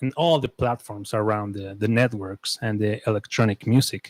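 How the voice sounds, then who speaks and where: A man with a Spanish accent, recorded with a dry, close sound and no echo. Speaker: interviewer. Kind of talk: interview. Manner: halting.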